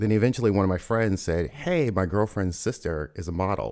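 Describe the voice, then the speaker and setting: Speaking fairly quickly with an American accent, a man's very deep, low voice is heard on a very clean recording with a silent background. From US South, Louisville, Kentucky. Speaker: photographer. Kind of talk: casual interview. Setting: studio.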